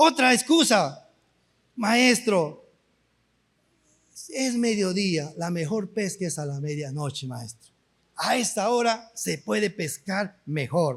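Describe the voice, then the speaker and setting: A man with a high pitch talks at a very slow pace, making very wide pitch swings and long, frequent pauses. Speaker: pastor. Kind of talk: sermon.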